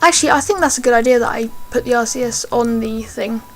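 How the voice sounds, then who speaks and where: Noticeable background noise sits under speech delivered fairly quickly. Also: woman. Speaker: gaming YouTuber. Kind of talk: gameplay commentary. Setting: home recording. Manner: hesitant, many fillers; volume goes loud and soft.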